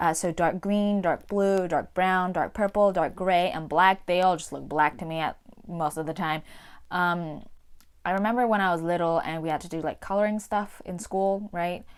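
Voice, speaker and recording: The intonation stays fairly even at a moderate pace. The recording is very clean, with a silent background. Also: woman, fairly low pitch for a woman. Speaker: video blogger with a visual impairment. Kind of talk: casual vlog explanation. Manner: hesitant with fillers.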